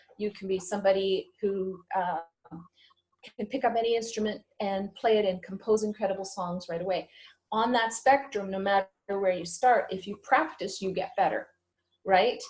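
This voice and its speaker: This woman has a Canadian accent and a medium pitch, with a somewhat breathy voice. She keeps a moderate pace and fairly even intonation. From Canada, Ottawa. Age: 60s. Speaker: psychic medium. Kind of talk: interview.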